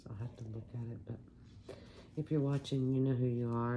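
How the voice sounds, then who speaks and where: A soft-spoken woman with an American accent, very deep and low in pitch, dark and mellow in tone, monotone and flat, with audible room echo. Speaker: resin craft hobbyist. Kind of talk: casual tutorial chat. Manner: quiet, soft-spoken.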